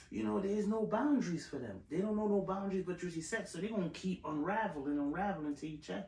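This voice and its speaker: A man with a high pitch and lively intonation at a very fast pace, over noticeable background noise. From Jamaica. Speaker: podcast host. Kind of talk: casual chat.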